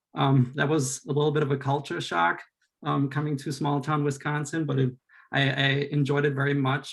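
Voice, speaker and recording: Here a man speaks with a German accent. His pitch is fairly high and his intonation fairly even. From Austria. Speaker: school board candidate, teacher. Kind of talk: candidate introduction speech.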